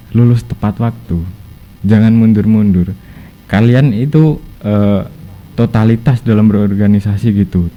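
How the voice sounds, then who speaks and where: A man with a Javanese accent speaks in a fairly low voice with fairly even intonation. He goes at a fairly slow pace amid noticeable background noise. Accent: Javanese-tinged Indonesian. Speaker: former student organization officer. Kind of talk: podcast interview, advice. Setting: studio podcast.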